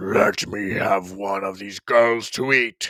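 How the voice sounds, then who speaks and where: A man puts on a growling character voice at a fairly low pitch. He speaks at a very slow pace. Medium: read story.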